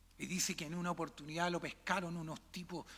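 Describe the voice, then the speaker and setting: The speaker is a man with a high-pitched voice. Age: 60s. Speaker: pastor. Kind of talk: sermon. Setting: church.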